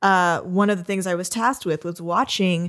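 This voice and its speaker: An ordinary speaking voice at a fairly quick pace. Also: woman. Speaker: audio staffer, podcast crew. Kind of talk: casual chat, comedy podcast. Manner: casual, filler-heavy.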